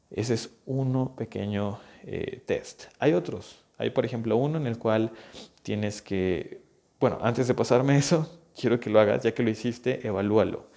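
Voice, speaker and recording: At a fairly slow pace, a man with a dark, mellow tone speaks at medium pitch with ordinary pitch variation. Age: 20s. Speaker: physical therapist and health coach podcast host. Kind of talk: solo educational podcast monologue. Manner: conversational, with fillers and repetitions.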